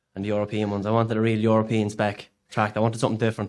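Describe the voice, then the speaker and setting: In a very clean recording with a silent background, a man with a fairly low voice speaks very fast in a flat monotone. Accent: Irish. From Ireland, County Louth. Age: 30s. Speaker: part-time farmer. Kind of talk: podcast interview answer.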